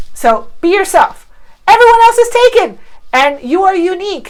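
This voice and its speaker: Her tone animated, a woman speaks with very wide pitch swings. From Cuba. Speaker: online marketing coach. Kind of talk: tutorial.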